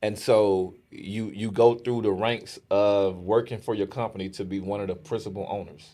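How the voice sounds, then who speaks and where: Here a man speaks with a dark, mellow tone. His intonation is fairly even. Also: fairly low pitch for a man, moderate pace, very clean recording, silent background. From US city. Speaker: podcast host. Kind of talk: casual interview.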